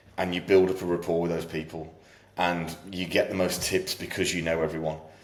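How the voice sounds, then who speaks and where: In a monotone, flat delivery, a man with a very deep, low voice talks at a fairly quick pace amid audible room echo. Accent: British. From UK. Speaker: fitness coach. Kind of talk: casual chat. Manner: loud.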